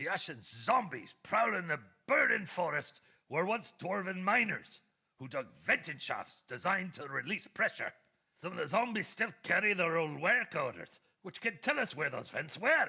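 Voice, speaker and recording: Putting on a character voice, a man speaks at a moderate pace and a high pitch. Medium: video game. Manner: gruff, scholarly.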